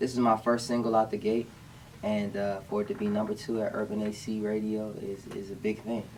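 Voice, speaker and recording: Speaking fairly quickly in an American accent, a man with a fairly low pitch keeps a monotone, flat intonation over noticeable background noise. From Washington, D.C., US. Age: 20s. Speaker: singer-songwriter. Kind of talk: radio interview.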